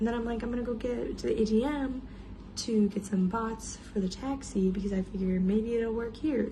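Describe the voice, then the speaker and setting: Quiet, fairly high speech from a woman, fairly quick and fairly even in intonation, with audible room echo. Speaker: travel vlogger. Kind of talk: casual vlog storytelling. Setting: hotel room. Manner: quiet, hushed.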